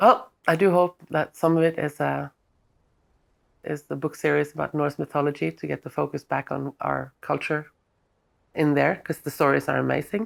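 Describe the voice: A woman speaks low in her range with vocal fry and little pitch movement. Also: moderate pace.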